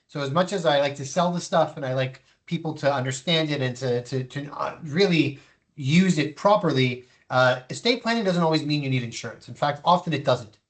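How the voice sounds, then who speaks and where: Somewhat breathy, this man's voice sits fairly high in pitch. He talks at a fairly quick pace with ordinary pitch variation. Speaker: insurance specialist. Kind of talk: webinar presentation. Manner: fast.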